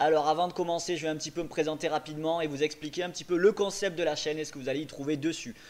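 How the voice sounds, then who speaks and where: With hardly any pauses, a man talks in a fairly high voice with fairly even intonation. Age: 20s. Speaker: professional poker player. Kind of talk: tutorial; casual chat. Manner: casual, many filler hesitations.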